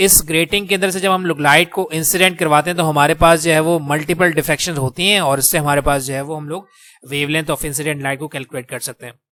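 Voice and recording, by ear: A fairly high-pitched man with a bright, sharp tone, a fairly quick pace, few pauses and fairly even intonation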